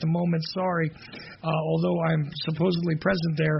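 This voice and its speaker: A man talks in a high voice while noticeable background noise carries on behind him. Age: 40s. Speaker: radio host. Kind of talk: talk radio monologue.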